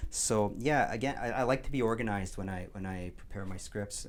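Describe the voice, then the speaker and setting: This man talks at a fairly quick pace. His fairly low voice carries audible room echo. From Quebec. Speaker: community radio host. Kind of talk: interview. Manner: halting with frequent repetitions.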